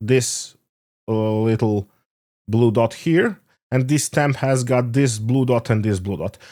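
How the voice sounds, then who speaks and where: With a non-native accent, a man of medium pitch and dark, mellow tone speaks at a very slow pace in a very clean recording with a silent background. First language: not English. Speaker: stamp collector video maker. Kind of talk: tutorial. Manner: halting, many fillers.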